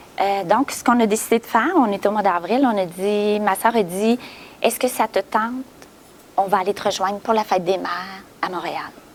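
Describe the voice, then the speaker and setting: Against noticeable background noise, the speech runs at a moderate pace with fairly even intonation. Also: woman, medium pitch for a woman. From Quebec, Gaspésie. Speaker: adoptee who found birth family. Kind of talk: interview testimony. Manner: halting.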